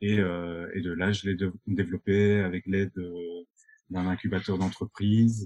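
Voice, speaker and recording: A man's very deep, low, dark and mellow voice, monotone and flat, at a fairly slow pace, with a dry, close sound and no echo. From Belgium, Binche (Hainaut). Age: 20s. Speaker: eco-tourism entrepreneur. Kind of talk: interview conversation.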